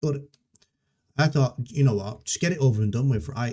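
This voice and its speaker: Somewhat breathy, a man's dark, mellow voice moves with lively intonation. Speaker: software developer live streamer. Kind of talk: live coding stream, casual chat. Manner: halting, many fillers and restarts. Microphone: noise cancelling software, levels reset, videos quiet.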